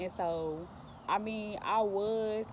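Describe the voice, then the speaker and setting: A woman with lively intonation. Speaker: spiritual vlogger. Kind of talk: casual monologue.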